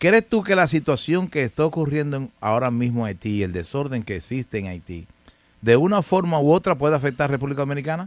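At a very fast pace, a man with a fairly high pitch swings his voice very widely, the sound dry with no echo. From Dominican Republic. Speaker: news commentary show host. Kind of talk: casual interview chat; reading news aloud. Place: studio. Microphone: studio mic.

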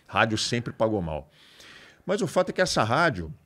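A man speaks against a quiet background. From Santos, São Paulo coast, Brazil; São Paulo, Brazil. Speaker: radio broadcaster; podcast guest, radio host. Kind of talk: casual chat. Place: studio. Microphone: studio mic.

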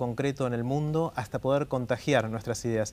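A man talks at a moderate pace with a medium pitch and fairly even intonation. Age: 50s. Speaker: TED talks organizer and author; interview guest. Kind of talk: interview. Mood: friendly, thoughtful. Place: studio.

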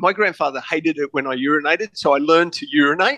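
A man speaks with an Australian accent in a bright, sharp tone. The sound is dry and close, with no echo. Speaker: private investigator and author. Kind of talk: interview.

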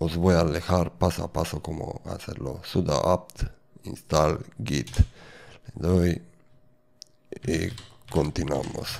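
A man's very deep, low voice with vocal fry, at a very slow pace with long, frequent pauses and ordinary pitch variation. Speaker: tech tutorial creator; developer tutor. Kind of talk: tutorial. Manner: halting. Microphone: studio mic.

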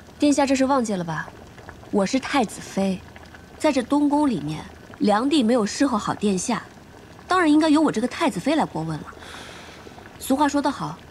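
A woman's high-pitched voice at a fairly quick pace over light background noise. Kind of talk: scripted drama dialogue. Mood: playful, mock-serious. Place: stage.

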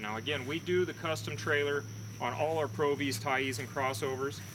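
Over noticeable background noise, a man speaks with a bright, sharp tone. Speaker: boat dealer salesman. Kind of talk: product walkthrough. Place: open country.

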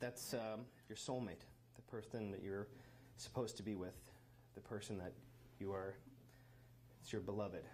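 A man speaks at a moderate pace with a fairly low, somewhat breathy voice. His intonation stays fairly even over light background noise. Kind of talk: wedding vows speech. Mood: warm, lightly joking, nervous. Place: hall. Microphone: handheld.

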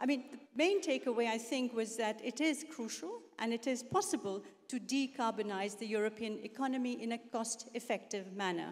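Talking at a moderate pace, a woman uses ordinary pitch variation while the background stays quiet. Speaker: panel moderator. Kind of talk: moderating a conference panel, reading points. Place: hall. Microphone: handheld.

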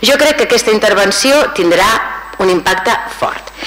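Lively intonation from a woman at a moderate pace, with light background noise. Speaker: council member. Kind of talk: formal council speech. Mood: critical, measured. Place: hall. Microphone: podium.

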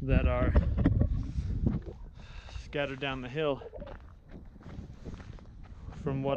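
Over loud background noise, a man speaks at a moderate pace with a dry sound and no echo. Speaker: explorer vlogger. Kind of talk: casual vlog narration. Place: open country. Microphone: phone near.

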